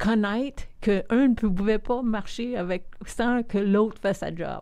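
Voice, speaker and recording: Speaking at a very slow pace, a woman has a dark, mellow tone, medium pitch and ordinary pitch variation. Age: 60s. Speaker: community leader and philanthropist. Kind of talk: interview conversation.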